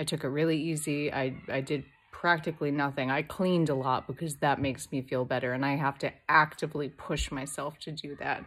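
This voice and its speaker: Music plays in the background as a woman with a very deep, low pitch talks at a fairly quick pace in a monotone, flat intonation. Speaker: vlogger. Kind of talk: casual vlog. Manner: long pauses; halting.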